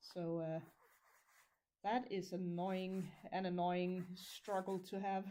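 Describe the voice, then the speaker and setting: A woman with a Danish accent speaks very slowly, leaving long, frequent pauses. Her medium pitch stays monotone and flat. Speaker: crafter livestreamer. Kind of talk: casual livestream monologue while crafting. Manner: halting, stumbles over words.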